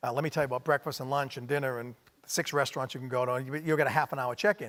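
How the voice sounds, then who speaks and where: A man speaks very fast at a medium pitch with fairly even intonation, on a very clean recording with a silent background. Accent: Maine. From Maine. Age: middle-aged. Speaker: hospitality company executive. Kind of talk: onstage interview.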